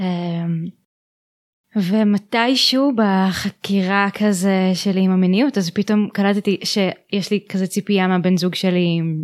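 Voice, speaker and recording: Very slowly, a woman speaks with fairly even intonation and very even loudness in a very clean recording with a silent background. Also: medium pitch for a woman. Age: 20s. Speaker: holistic therapist. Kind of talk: interview. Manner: halting.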